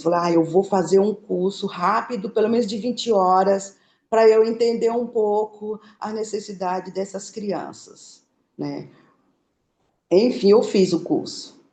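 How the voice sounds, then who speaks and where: Speaking at a fairly slow pace with long, frequent pauses, a woman has a dark, mellow tone, medium pitch, and ordinary pitch variation. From Bahia, Brazil. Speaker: small food business owner. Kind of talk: interview. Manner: halting.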